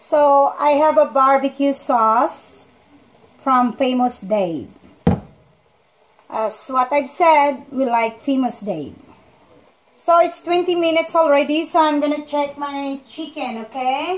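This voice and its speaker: A woman with a non-native accent speaks at a very slow pace in a high voice, her pitch varying in an ordinary way, with long, frequent pauses. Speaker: home cook vlogger. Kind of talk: cooking tutorial. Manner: casual, conversational.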